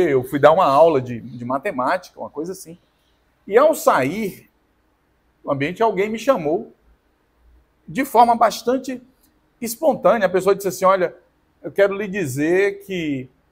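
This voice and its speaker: A man speaks high for his sex, his pitch swinging very widely at a fairly slow pace. The recording is very clean, with a silent background. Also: long, frequent pauses, big swings in loudness. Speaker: podcast co-host. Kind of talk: casual chat. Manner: loud.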